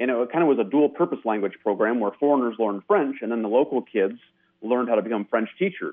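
Talking very fast, a man with an American accent keeps a medium pitch with ordinary variation. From US. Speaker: caller. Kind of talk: radio call-in. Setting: phone call.

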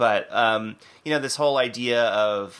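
A man speaks at a fairly slow pace with ordinary pitch variation in an unremarkable speaking voice. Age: 30s. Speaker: podcast host. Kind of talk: casual chat.

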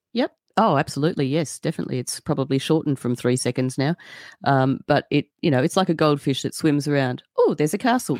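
A woman talks at a very fast pace in a very deep, low pitch, with ordinary pitch variation. The recording is very clean and dry, close with no echo, and the background is silent. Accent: Australian. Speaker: podcaster. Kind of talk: casual chat.

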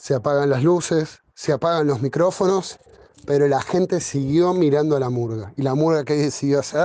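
Here is a man with an ordinary speaking voice, fairly high pitch, and ordinary pitch variation. He keeps a moderate pace at very even loudness. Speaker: murga performer. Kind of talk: interview.

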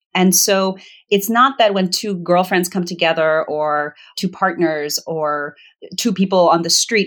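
In a General American accent, a woman with a fairly low pitch and a plain, everyday voice talks at a moderate pace with ordinary pitch variation. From Virginia, US. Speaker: author and facilitator. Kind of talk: interview conversation.

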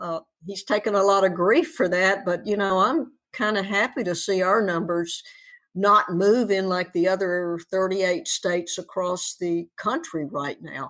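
A woman speaks at a fairly slow pace with a slight Southern US accent and a medium pitch. Her pitch varies in an ordinary way, and the recording is very clean with a silent background. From Tennessee. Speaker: advocate and former coach. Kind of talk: casual interview.

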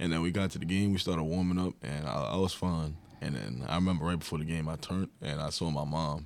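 A man with a New York accent, very deep and low in pitch, at a very fast pace with hardly any pauses, over noticeable background noise. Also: ordinary pitch variation. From New York, Long Island. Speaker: college basketball player. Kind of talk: interview.

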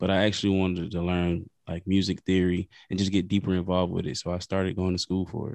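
A man with an American accent speaks very fast in a very deep, low pitch, with hardly any pauses. His intonation is flat and monotone, and the sound is dry and close, with no echo. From US South, South Carolina (Lake City). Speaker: podcaster and musician. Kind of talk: casual chat.

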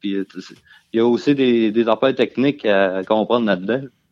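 A man with a plain, everyday voice speaks at a fairly slow pace, his medium pitch carrying fairly even intonation. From Quebec, Beauce. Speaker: truck driver. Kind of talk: casual chat. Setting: remote call from home.

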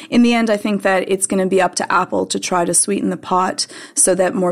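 Here a woman has a plain, everyday voice, speaking at a medium pitch and a fairly quick pace with ordinary pitch variation. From Canada; Montreal, Canada. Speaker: tech website writer. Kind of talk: casual chat.

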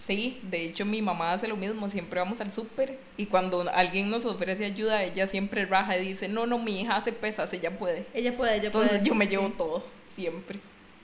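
Fairly quick speech from a woman with a Costa Rican accent, medium pitch and fairly even intonation, amid noticeable background noise. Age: 20s. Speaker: CrossFit coach. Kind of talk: casual chat.

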